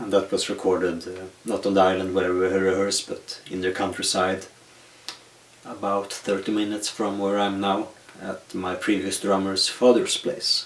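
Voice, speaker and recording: Noticeable background noise sits behind a man's voice. His pitch is fairly low and his intonation monotone and flat. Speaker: metal musician answering fan questions. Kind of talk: casual Q&A monologue. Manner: slow.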